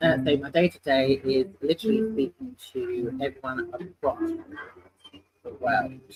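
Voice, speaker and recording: A fairly slow man's voice with a fairly high pitch and lively intonation. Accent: British. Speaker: sales manager. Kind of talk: casual interview chat. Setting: in person, live stream.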